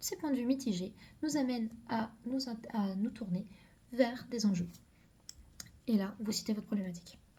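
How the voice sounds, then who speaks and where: Somewhat breathy, a woman speaks at a fairly high pitch in a dark, mellow tone. Her pitch varies in an ordinary way, with long, frequent pauses. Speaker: medical student youtuber. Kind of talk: casual advice video. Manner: fast; hesitant fillers.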